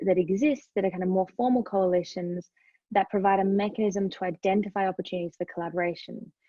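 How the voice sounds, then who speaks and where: In an Australian accent, a woman speaks at a fairly quick pace. Her pitch is medium and her intonation fairly even. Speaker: human rights NGO advocate. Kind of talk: webinar presentation. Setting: online webinar.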